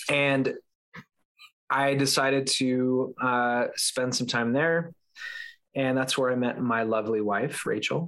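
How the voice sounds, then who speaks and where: In an American accent, a man speaks at a very slow pace with long, frequent pauses, fairly even intonation, and very even loudness. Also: medium pitch for a man. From Southern California. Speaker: podcast host and former evangelical. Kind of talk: casual interview chat. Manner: filler-heavy, hesitant.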